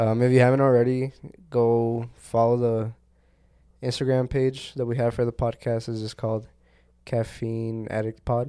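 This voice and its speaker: At a moderate pace, a man speaks in a monotone, flat intonation with a dark, mellow tone. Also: medium pitch for a man. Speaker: podcast co-host. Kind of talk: casual chat. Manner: casual, slangy, laughs often.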